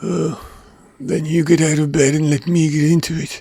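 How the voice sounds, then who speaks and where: Using a put-on character voice, a man speaks at a fairly high pitch and a moderate pace. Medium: read story.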